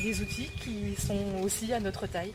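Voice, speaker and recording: Noticeable background noise sits under the fairly slow speech of a woman. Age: 30s. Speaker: aspiring market gardener. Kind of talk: project presentation. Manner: hesitant, many fillers.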